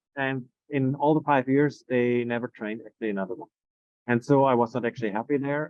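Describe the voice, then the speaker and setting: This man's delivery is very fast. The intonation remains fairly even throughout. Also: medium pitch for a man. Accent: German. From Germany. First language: German. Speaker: Montessori educator. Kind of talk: interview conversation. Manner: halting.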